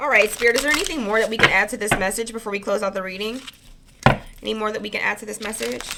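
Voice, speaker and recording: A woman talks at a very fast pace. Her pitch is fairly high, and noticeable background noise can be heard. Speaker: tarot card reader. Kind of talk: collective tarot reading. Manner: tongue-tied, stumbling when excited; fast, mouth racing thoughts.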